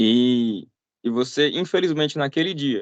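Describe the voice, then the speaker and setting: With a Brazilian accent and lively intonation, a man speaks in a dry, close sound with no echo. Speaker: missionary preacher. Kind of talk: sermon. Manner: conversational.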